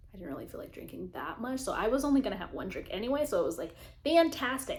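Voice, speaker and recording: A woman's very fast speech with very wide pitch swings and audible room echo. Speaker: lifestyle vlogger. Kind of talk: casual chat. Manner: animated.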